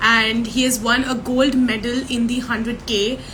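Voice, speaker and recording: A woman talks at a high pitch and a fairly slow pace. There is noticeable background noise and audible room echo. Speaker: podcast host. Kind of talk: interview.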